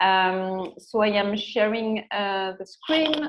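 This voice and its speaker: A woman speaking at a very slow pace, in a French accent. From France. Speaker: secretary general of an arts mobility network. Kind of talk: online workshop presentation. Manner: halting, many fillers.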